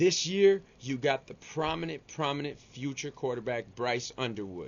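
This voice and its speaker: A man with a Miami accent speaks in an animated tone. His pitch sits in the medium range. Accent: Cuban-American Miami. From Miami, Florida (Cuban-American). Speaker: sports YouTuber. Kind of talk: casual sports commentary vlog. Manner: casual, animated slangy delivery.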